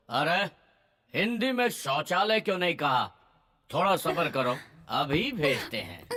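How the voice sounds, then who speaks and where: A man puts on a pompous, gruff character voice pitched high, with very wide pitch swings. He talks at a fairly slow pace, with long, frequent pauses. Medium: fan dub. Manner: gruff, blunt, pompous "we".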